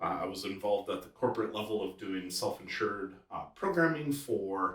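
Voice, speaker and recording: The speaker has a slight Wisconsin accent. The pace is moderate, with ordinary pitch variation. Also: man. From Wisconsin, US Midwest. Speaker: chiropractor. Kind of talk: podcast interview.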